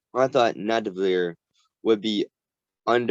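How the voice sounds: Ordinary pitch variation marks a natural reading voice. Nothing much sounds in the background, which is quiet.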